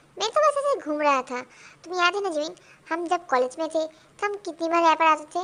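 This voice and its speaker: A woman uses a put-on character voice pitched extremely high. She talks at a very fast pace. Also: ordinary pitch variation. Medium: read story. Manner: warm, easygoing.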